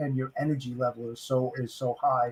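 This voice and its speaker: Fairly high for a man, this voice carries a somewhat breathy quality. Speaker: podcast host. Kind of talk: podcast interview. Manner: energetic.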